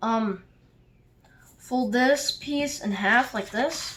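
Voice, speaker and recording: This woman has a high-pitched voice. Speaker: origami tutorial maker. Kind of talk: tutorial. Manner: casual with fillers.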